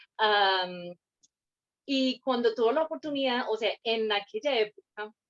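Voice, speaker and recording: A woman's fairly high voice with a slight non-native accent and lively intonation, at a fairly slow pace, dry and close with no echo. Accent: hardly any foreign accent in Spanish. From Scotland, Fife. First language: English (speaking Spanish). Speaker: guest interviewee. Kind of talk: interview. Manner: hesitant, many fillers.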